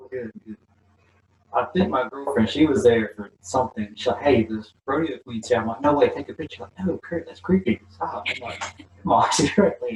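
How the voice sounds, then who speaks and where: A man with a Southern US accent speaks at a moderate pace and a medium pitch, somewhat breathy. His intonation is lively, with big swings in loudness. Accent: Southern American. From US South, Mississippi. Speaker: channel host, interviewer. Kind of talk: interview. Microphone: poor audio, untested.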